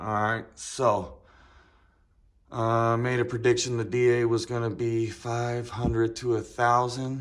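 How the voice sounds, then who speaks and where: A mumbling man at medium pitch, fairly slow and flat in a monotone, with audible room echo. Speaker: car enthusiast vlogger. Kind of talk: casual vlog talk. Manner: rambling with many fillers.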